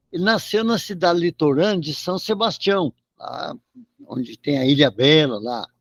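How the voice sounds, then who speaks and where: A man talks at a fairly slow pace in a high voice with lively intonation. The sound is dry and close, with no echo. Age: 70s. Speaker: radio show co-host and storyteller. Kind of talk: casual chat.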